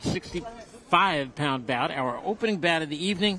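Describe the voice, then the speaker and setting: An American-accented man with very wide pitch swings over noticeable background noise. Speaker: boxing commentator. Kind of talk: casual chat; live commentary. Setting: ringside at boxing event.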